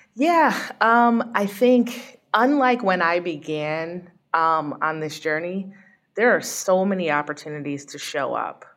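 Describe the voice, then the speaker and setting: This woman has a normal speaking voice and fairly low pitch. She talks at a fairly slow pace with lively intonation. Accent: American. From Connecticut. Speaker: sports team executive. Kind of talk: interview.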